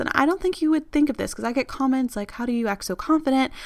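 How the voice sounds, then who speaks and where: A woman's high-pitched voice is heard in a very clean recording, with a silent background. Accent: American. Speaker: podcast host. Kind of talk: personal monologue. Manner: casual, chatty.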